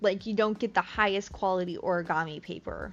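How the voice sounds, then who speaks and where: A woman speaks with a Midwestern accent and ordinary pitch variation. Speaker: crochet streamer. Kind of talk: casual live-stream chat. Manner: casual, many fillers.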